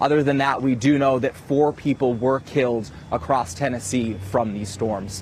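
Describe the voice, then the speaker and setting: A man at a moderate pace. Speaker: weekend morning TV news anchor. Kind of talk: local TV news anchor delivery. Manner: clear, polished, professional news read.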